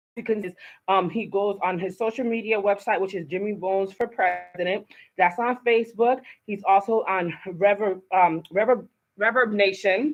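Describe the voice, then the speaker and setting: A woman with an American accent talks in an animated tone at a moderate pace and medium pitch, with music in the background. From Haitian American. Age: 40s. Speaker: talk show host. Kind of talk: live talk show. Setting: studio.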